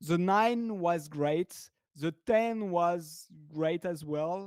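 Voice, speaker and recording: A man talks at a very slow pace in a French accent. His pitch is high, with ordinary variation. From France. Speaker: software developer. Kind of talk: casual chat. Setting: livestream video call. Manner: halting, repeats words.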